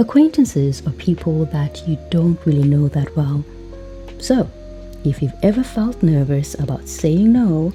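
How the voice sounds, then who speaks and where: A woman speaking at a fairly slow pace over music in the background. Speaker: English teacher. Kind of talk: podcast lesson. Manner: clear.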